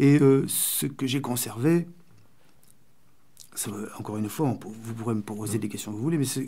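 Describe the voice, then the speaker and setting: A man's voice, dark and mellow in tone. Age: 60s. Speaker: poet and writer, former far-left activist. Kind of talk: radio interview. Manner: halting, searching for words.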